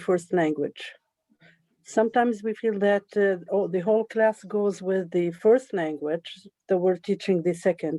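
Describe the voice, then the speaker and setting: At a fairly slow pace, a woman with an Arabic accent speaks at a medium pitch in a dark, mellow tone with ordinary pitch variation, the sound dry and close with no echo. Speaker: English teacher, audience member. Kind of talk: audience question. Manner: halting.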